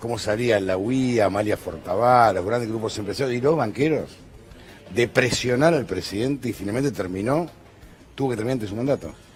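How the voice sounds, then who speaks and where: Over music in the background, a man talks at a fairly quick pace with medium pitch and ordinary pitch variation. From Argentina. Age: 60s. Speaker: TV news host. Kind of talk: TV panel discussion.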